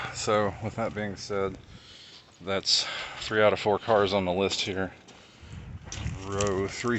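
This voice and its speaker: A soft-spoken man with a fairly low pitch can be heard over noticeable background noise. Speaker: car enthusiast vlogger. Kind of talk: casual vlog narration. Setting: outdoors.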